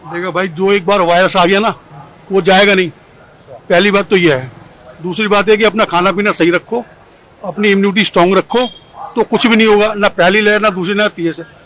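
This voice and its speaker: Long, frequent pauses break up speech at a moderate pace with fairly even intonation, set against noticeable background noise. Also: man, high pitch for a man. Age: 70s. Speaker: member of the public interviewed on street. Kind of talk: street interview.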